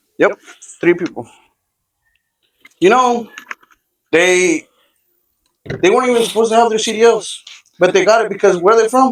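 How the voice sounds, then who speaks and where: With an American accent, a man speaks at a high pitch, leaving long, frequent pauses. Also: ordinary pitch variation, moderate pace. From Texas. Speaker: podcast co-host. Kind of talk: casual chat while cooking.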